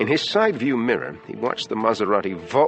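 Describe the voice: The speaker is simply reading aloud. The reading is plain.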